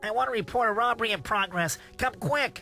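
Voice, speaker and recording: A put-on character voice, female-sounding and fairly high in pitch, delivered at a fairly quick pace over clear background music. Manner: funny, exaggerated.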